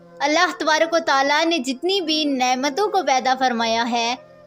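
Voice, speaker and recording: The speaker uses lively intonation. Behind the voice, music can be heard. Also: woman. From Pakistan. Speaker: voice over artist. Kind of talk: religious narration.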